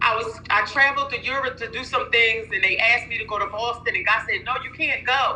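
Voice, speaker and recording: Fairly quick, animated speech with audible room echo. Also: woman. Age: 50s. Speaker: nurse and minister, sales distributor. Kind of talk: testimony. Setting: online live call.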